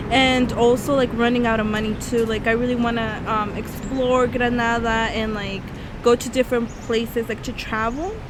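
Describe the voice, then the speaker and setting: A high-pitched woman's voice with an American accent, audible room echo and noticeable background noise. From Northern California. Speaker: study abroad student vlogger. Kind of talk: casual vlog chat.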